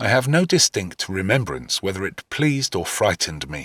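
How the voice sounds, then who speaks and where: A man's medium-pitched voice, bright and sharp with vocal fry and very wide pitch swings, in a dry, close sound with no echo and a very clean recording against a silent background. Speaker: voice actor; first-person narrator. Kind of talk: audiobook dramatic reading.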